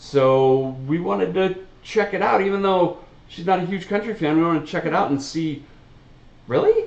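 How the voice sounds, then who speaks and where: With audible room echo, a man talks loudly at a moderate pace in a high, animated voice. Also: ordinary pitch variation. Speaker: reaction video host. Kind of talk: casual chat.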